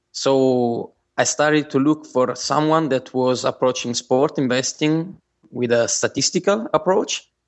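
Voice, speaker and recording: At a fairly slow pace, a man with an Italian accent talks in a fairly high pitch, with ordinary pitch variation. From southern Italy. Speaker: engineer and sports bettor. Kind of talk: interview.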